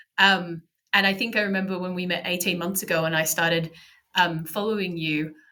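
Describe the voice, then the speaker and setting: Talking at a fairly quick pace in an Australian accent, a woman with a fairly low pitch has a bright, sharp tone and fairly even intonation. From regional Australia. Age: 40s. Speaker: podcaster and blogger. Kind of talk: interview conversation.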